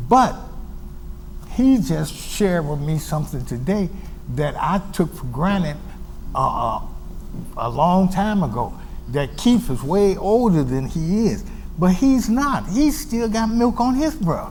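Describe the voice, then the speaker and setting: Amid noticeable background noise and audible room echo, a man speaks at a fairly slow pace with long, frequent pauses, a high pitch and very wide pitch swings. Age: 70s. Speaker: TV community show host. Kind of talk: TV interview. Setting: TV studio. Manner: halting, repeats words.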